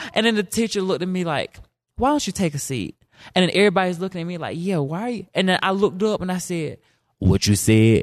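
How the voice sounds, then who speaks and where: Against a quiet background, a man talks very fast in a high-pitched, animated voice with lively intonation. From South Carolina. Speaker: storyteller. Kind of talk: storytelling.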